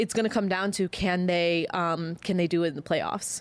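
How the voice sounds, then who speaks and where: Speaking at a moderate speed, a woman has an American accent. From Chicago, US Midwest. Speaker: sports broadcaster. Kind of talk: casual chat.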